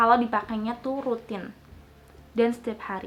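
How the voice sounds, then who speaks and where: Her fairly high pitch holds to fairly even intonation as this woman speaks. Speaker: beauty vlogger. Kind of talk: casual Q&A vlog.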